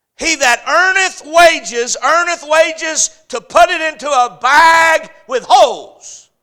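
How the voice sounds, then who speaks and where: Barely pausing, a man with an American accent and an extremely high pitch uses a raised, projected voice in an animated tone with ordinary pitch variation. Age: 30s. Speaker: pastor. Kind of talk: sermon. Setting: church.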